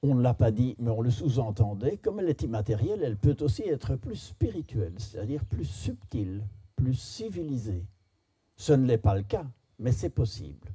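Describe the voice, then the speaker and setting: A man with a dark, mellow, somewhat breathy voice of medium pitch speaks at a moderate pace with lively intonation. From Belgium. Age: 70s. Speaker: philosopher and speaker. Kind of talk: storytelling talk to an audience.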